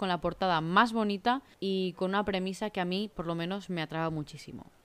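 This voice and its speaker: Her delivery is fairly quick. This woman's pitch rises and falls in a normal way. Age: 30s. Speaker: book podcaster. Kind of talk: solo book review monologue. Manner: talkative, continuous.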